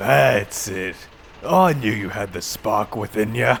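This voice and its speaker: Putting on a character voice, a man speaks at a fairly slow pace in a fairly low pitch. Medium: audio drama.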